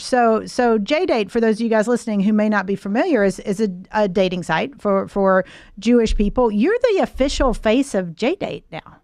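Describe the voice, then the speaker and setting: Against a quiet background, a woman with a normal speaking voice uses lively intonation at a fairly high pitch. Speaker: podcast host, business consultant. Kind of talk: podcast interview question.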